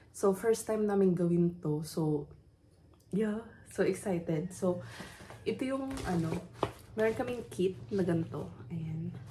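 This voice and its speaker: At a fairly slow pace with long, frequent pauses, a woman speaks at a fairly low pitch against noticeable background noise. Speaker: vlogger. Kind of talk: casual vlog talk. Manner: toned-down voice, early morning.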